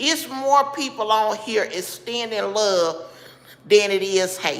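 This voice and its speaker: With a Southern US accent, a woman speaks at a fairly slow pace. Her tone is bright and sharp, and her intonation is lively. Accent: Southern US (Georgia). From Georgia, US South. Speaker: livestreamer. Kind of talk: casual chat. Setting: live stream. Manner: casual, conversational.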